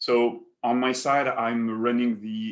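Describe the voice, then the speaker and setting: Pitched in the medium range, a man with a French accent speaks with fairly even intonation. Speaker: paper company executive. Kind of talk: webinar presentation. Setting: online webinar.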